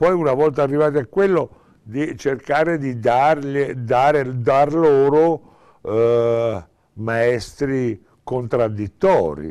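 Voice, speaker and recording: Speaking very slowly, a man has a dark, mellow tone and ordinary pitch variation. The background is quiet. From Tuscany, Italy. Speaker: theatre director; interviewee. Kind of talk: interview. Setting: small theatre. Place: stage.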